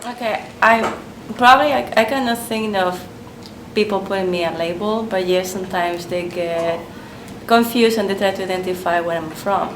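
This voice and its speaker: A woman with a Spanish accent is heard with audible room echo and noticeable background noise. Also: medium pitch for a woman, ordinary pitch variation, moderate pace. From Spain. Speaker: interviewee. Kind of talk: interview answers.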